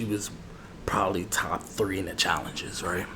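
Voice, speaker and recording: A man whispering amid noticeable background noise. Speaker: barber roleplay ASMR creator. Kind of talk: ASMR barber roleplay, casual conversational talk to camera. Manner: soft-spoken, relaxed, chatty.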